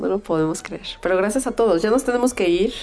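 Noticeable background noise behind a woman whose pitch varies in an ordinary way. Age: 30s. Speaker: podcast host. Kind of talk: casual chat.

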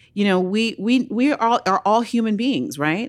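A woman with an American accent speaks at a moderate pace in an animated tone, in a very clean recording with a silent background. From Oakland, California. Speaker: nonprofit founder and activist. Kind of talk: interview.

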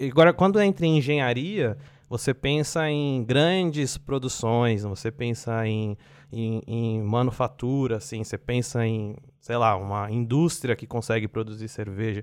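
Against a quiet background, a man talks at a moderate pace and medium pitch. He has an ordinary speaking voice with ordinary pitch variation. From Brazil, São Paulo (East Zone). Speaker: biotechnology researcher. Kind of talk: casual interview.

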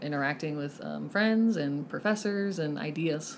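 Speaking at a moderate pace in a fairly low voice, a woman with a Texan accent uses ordinary pitch variation. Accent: Texan American. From Lubbock, Texas. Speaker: counselor. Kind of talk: interview. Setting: in-person, headmaster's office.

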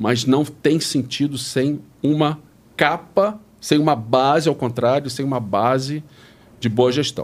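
A man's unremarkable speaking voice, fairly high in pitch, at a fairly slow pace with ordinary pitch variation. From Brazil, Rio de Janeiro. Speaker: retired tech executive. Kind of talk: interview.

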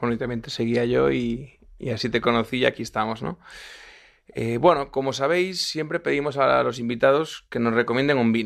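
With a normal speaking voice, a man talks at a moderate pace and medium pitch with ordinary pitch variation in a very clean recording with a silent background. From Galicia, Spain (Lugo). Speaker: podcast host. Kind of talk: interview; wine tasting commentary. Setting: studio.

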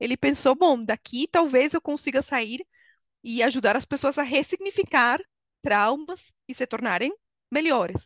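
Over a quiet background, a woman speaks at a high pitch and a fairly slow pace. Her intonation is lively, and the sound is dry and close with no echo. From Venezuela. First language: Spanish (speaking Portuguese). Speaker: HR consultant and coach. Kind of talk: interview.

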